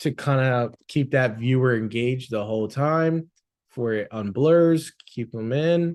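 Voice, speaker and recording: With an unremarkable speaking voice, a man of medium pitch talks at a fairly slow pace with ordinary pitch variation. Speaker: social media agency owner. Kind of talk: tutorial. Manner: casual.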